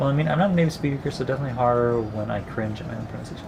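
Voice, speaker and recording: With background noise clearly present, a man talks at a medium pitch. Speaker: gaming streamer. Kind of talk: live stream commentary. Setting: live stream. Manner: halting, with filler sounds.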